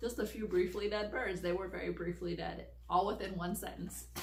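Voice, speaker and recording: Noticeable noise fills the background as a woman speaks at a moderate pace. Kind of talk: casual talk to camera.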